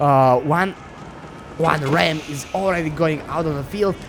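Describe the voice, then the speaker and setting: Fairly high male speech amid noticeable background noise. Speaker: game caster. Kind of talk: live commentary. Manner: stuttering.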